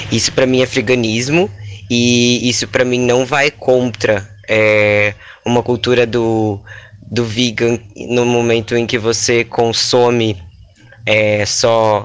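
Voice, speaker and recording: Very slow and monotone, a man speaks at a medium pitch with flat intonation and very even loudness. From Rio Grande do Sul, Brazil. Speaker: performance artist and cook. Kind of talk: casual chat.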